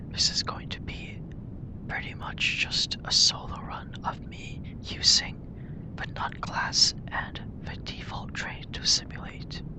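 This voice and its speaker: Someone is whispering at a very slow pace. There is noticeable background noise. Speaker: ASMR gamer. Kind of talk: gameplay walkthrough commentary. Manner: whispered.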